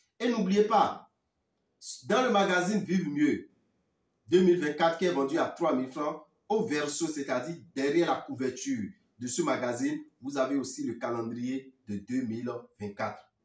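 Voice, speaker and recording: Fairly slow, with long, frequent pauses, a man speaks at a fairly high pitch with lively intonation. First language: Fon (speaking French). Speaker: spiritual teacher. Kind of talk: talk to viewers; sales pitch.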